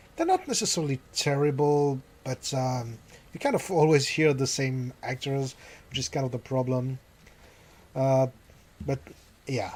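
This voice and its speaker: Speaking with a French accent, a man of medium pitch keeps a fairly even intonation and leaves long, frequent pauses. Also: moderate pace. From France. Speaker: gaming YouTuber. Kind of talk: let's play commentary. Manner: hesitant, many fillers. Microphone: new microphone being tested.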